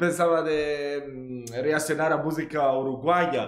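Music plays in the background while a man with a fairly high pitch speaks amid audible room echo. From Italy. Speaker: YouTube reaction host. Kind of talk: casual talk to camera, reaction commentary. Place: home room.

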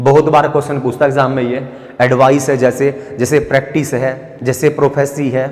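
The speaker is a man with monotone, flat intonation. He keeps to a moderate pace. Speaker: teacher. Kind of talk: lecture. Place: classroom. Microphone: lapel.

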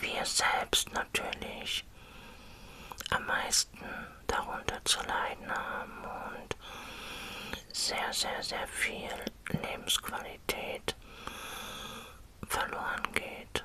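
Whispering and soft-spoken, the speaker goes at a very slow pace with long, frequent pauses over light background noise. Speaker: vlogger sharing personal experience. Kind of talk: casual vlog chat. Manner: soft close-mic whisper. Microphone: studio mic.

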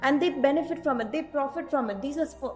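Over faint background music, a woman with a high pitch speaks very fast with ordinary pitch variation. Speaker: nutrition coach. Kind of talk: informative vlog talk. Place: office. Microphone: studio mic.

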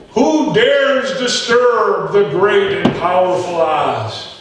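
In a put-on character voice with a high pitch, a man speaks very slowly amid strong echo. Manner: grand, intimidating.

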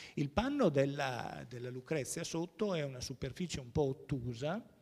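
A man with a fairly high pitch and a dark, mellow tone speaks at a moderate pace with lively intonation. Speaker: art historian and museum curator; museum curator lecturer. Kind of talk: lecture. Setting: stage with audience. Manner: halting. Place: hall.

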